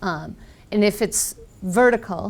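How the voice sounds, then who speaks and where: A woman with an American accent delivers her words at a fairly slow pace. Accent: very American. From US Northeast, Boston. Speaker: software trainer. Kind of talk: technical presentation.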